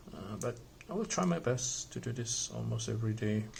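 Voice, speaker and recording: The speaker talks at a moderate pace with a non-native accent. Room echo is audible. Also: man. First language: not English. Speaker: Lego hobby YouTuber. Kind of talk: casual vlog monologue while building. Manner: halting, many fillers; casual, conversational.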